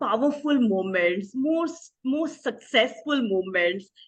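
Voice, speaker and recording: A woman uses lively intonation while speaking at a very slow pace. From India, Odisha. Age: 60s. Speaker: image consultant. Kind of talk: interview.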